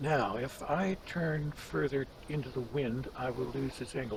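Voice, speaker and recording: Over noticeable background noise, a man speaks fairly slowly at a medium pitch with lively intonation. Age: 70s. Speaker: gaming YouTuber. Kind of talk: gameplay commentary. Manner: relaxed, conversational.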